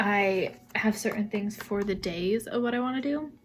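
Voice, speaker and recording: A soft-spoken woman talks at a medium pitch. Noticeable background noise runs behind her. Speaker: vlogger and social media manager. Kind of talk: vlog. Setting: at home. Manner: calm.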